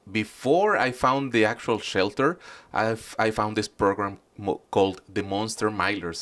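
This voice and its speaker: A man with a Spanish accent talks at a fairly slow pace with a fairly low pitch and fairly even intonation, in a very clean recording with a silent background. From Mexico. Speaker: animal shelter volunteer. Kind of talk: interview. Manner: hesitant, many fillers.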